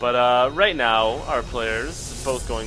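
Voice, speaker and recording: Music sits in the background behind a man speaking at a medium pitch. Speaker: esports commentator. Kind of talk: live game commentary. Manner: halting.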